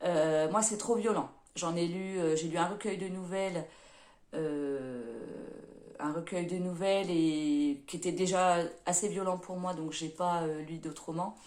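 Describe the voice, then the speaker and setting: In a room with audible echo, a woman speaks at a very slow pace and fairly low pitch with fairly even intonation and long, frequent pauses. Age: 30s. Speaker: book vlogger and nursing assistant. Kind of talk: casual self-introduction vlog. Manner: hesitant, many fillers.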